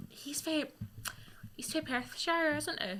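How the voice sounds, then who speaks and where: A woman with a Scottish accent speaks at a very slow pace. Her tone is bright and sharp, with lively intonation. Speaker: radio presenter. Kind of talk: casual chat.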